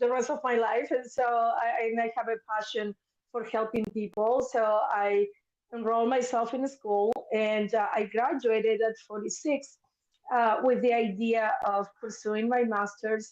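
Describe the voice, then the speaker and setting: The pace is moderate. The speaker has a Spanish accent. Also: woman. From Argentina, Buenos Aires. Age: 50s. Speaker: mental health therapist. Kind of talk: interview testimony.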